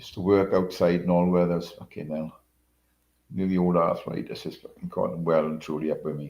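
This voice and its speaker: Deep and very low, a man's voice has a dark, mellow tone and fairly even intonation. He moves at a fairly quick pace with big swings in loudness. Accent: British. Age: 70s. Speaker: livestreamer. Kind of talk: casual chat. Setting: live stream.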